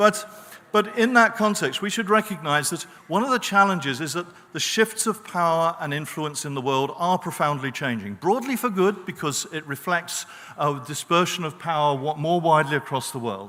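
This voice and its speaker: In a British accent, the speaker uses lively intonation at a moderate pace. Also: man, high pitch for a man. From Britain. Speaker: professor on a peace studies panel. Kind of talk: panel talk. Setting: conference stage with audience.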